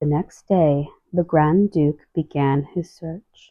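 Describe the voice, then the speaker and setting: The voice is soft-spoken with a gentle tone. It moves at a very slow pace. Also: woman. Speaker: storybook reader. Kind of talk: reading aloud.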